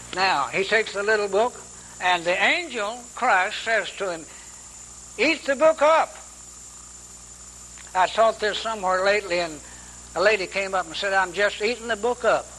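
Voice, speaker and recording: With noticeable background noise, a raised, projected voice moves at a moderate pace with ordinary pitch variation and long, frequent pauses. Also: man, high pitch for a man. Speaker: Bible teacher. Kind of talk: sermon.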